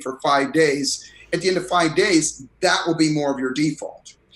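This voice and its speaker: A man with an unremarkable speaking voice at a fairly quick pace. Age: 60s. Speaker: performance coach and author. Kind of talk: interview.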